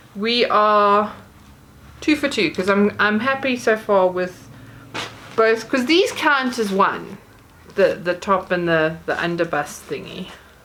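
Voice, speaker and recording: A woman talks at a very slow pace with long, frequent pauses. Her medium pitch carries lively intonation. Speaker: YouTuber. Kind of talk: unboxing haul video. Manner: casual, chatty with hesitations.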